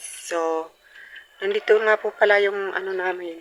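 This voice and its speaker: Noticeable background noise sits behind a woman at medium pitch. She speaks in a monotone, flat intonation. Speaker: vlogger. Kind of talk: casual vlog. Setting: outdoors.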